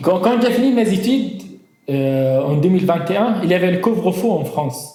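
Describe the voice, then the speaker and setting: A high-pitched man talking at a fairly quick pace with lively intonation, audible room echo and noticeable background noise. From northern Syria. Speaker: engineer, migrant giving testimony. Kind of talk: testimony interview. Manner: halting, with false starts.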